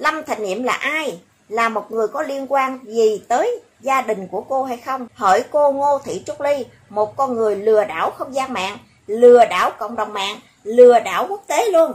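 Pitched high, a woman speaks at a fairly slow pace. Her intonation is lively. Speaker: YouTube commentary vlogger. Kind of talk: monologue commentary video. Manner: animated.

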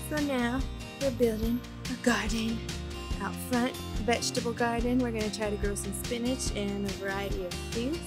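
Clear music plays in the background as the speaker moves at a moderate pace. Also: woman. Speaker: vlogger. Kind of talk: casual vlog chat. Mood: playful, animated. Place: garden. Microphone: phone near.

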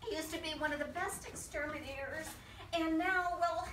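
In a raised, projected voice, a woman speaks at a moderate pace with fairly even intonation. Audible room echo and light background noise surround her. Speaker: amateur actor in a skit. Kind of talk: theatrical monologue, one-sided phone call. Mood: anxious, flustered. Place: garden. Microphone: camera far.

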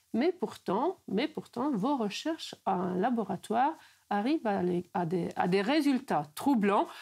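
Somewhat breathy and fairly high, this woman's voice moves very slowly with very wide pitch swings and very even loudness over a quiet background. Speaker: interviewer. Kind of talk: interview. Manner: halting, repeats words. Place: home room.

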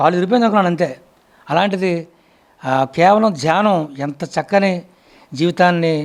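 A man's high voice with ordinary pitch variation. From Andhra Pradesh, Anakapalli. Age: 70s. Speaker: meditation practitioner. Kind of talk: testimony.

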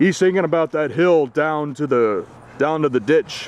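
Ordinary pitch variation at a fairly slow pace, with noticeable background noise. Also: man. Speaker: wrestling commentator. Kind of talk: live wrestling commentary, backyard match call. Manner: ring announcer style intro.

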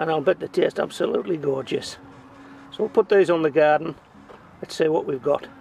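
High-pitched male voice with ordinary pitch variation and a moderate pace, dry with no echo, music playing behind. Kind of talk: casual gardening commentary. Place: garden. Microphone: camera far.

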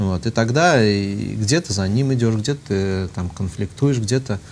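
This man has a normal speaking voice, fairly low in pitch with ordinary pitch variation, talking at a fairly slow pace over light background noise. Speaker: priest. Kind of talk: talk-show discussion, casual anecdote. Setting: studio. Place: studio. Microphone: lapel.

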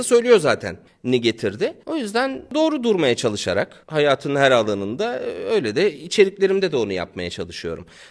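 Against a quiet background, a man speaks with a high pitch. He moves at a moderate pace with very wide pitch swings. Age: 40s. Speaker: YouTuber. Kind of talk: casual chat.

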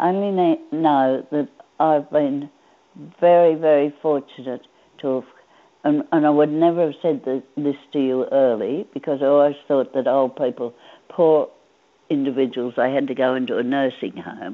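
A woman with an Australian accent talks in a very deep, low voice. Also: ordinary pitch variation, moderate pace. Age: 80s+. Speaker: centenarian interviewee; interviewee. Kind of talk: interview. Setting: phone call. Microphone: video call.

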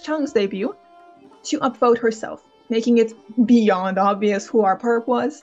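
Over music in the background, a woman talks at a moderate pace in a fairly high voice with fairly even intonation. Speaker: author and book commentary creator. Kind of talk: opinion commentary to camera.

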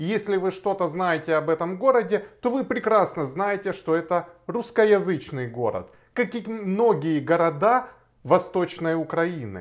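Speaking at a fairly slow pace, a man with a high-pitched voice uses lively intonation against a quiet background. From Ukraine, Kharkiv; Ukraine. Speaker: lawyer. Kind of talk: video blog monologue. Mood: firm, argumentative. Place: home room.

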